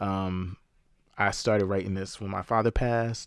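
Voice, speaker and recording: Recorded very cleanly against a silent background, a man with a normal speaking voice and a fairly low pitch talks at a moderate pace with fairly even intonation. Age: middle-aged. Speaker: author and editor. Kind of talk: interview conversation.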